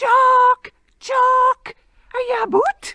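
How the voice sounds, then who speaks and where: Squeaky and extremely high-pitched, this is a put-on character voice. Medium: read story. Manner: wheedling, mischievous.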